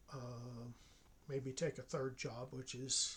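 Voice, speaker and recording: Here a man speaks at a fairly slow pace. His voice is somewhat breathy. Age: 60s. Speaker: online college professor. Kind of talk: casual monologue. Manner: hesitant, many fillers.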